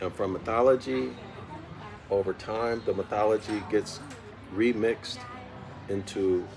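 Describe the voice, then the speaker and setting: A soft-spoken man at a fairly low pitch with ordinary pitch variation and a fairly slow pace, with music in the background. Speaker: study group teacher. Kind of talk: lecture. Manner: repetitive.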